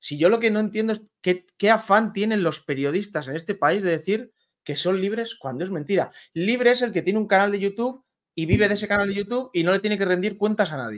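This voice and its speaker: Over a quiet background, a man talks at a very fast pace in a high pitch with lively intonation. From Spain, Valladolid; Spain. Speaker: sports journalist. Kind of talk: casual chat. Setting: video call. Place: home room. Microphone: studio mic.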